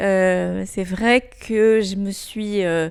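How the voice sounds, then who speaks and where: The recording is very clean, and the background is silent. A woman talks at a medium pitch, her pitch varying in an ordinary way. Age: 60s. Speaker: former corporate executive. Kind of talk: interview. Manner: hesitant with frequent fillers.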